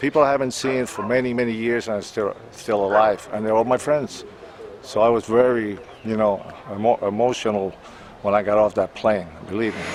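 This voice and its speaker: A man speaks with a Cuban-American accent at a medium pitch and a fairly quick pace. His intonation is fairly even, and there is noticeable background noise. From Havana, Cuba, then New York City. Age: 60s. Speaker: drummer. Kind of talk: interview. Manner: halting, with repetitions.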